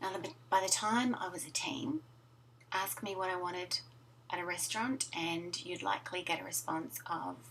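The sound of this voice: This woman has a fairly low pitch and a fairly bright tone. She keeps a moderate pace with ordinary pitch variation.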